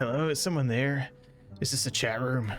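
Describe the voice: Over clear background noise, a put-on character voice, raspy and low-to-middle in pitch, moves at a moderate pace.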